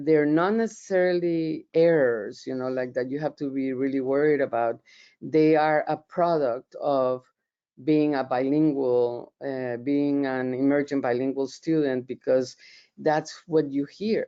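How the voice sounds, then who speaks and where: A woman speaks in a very deep, low voice with a Colombian accent. Her pace is fairly slow. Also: ordinary pitch variation. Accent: Colombian Spanish accent, noticeable. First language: Spanish. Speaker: professor. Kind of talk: webinar presentation. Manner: hesitant, many fillers and repeats.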